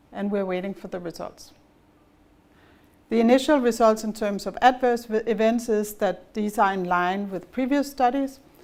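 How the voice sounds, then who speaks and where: The speech comes at a moderate pace with ordinary pitch variation and a Danish accent. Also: woman. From Denmark. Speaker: pharma executive. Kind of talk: business presentation.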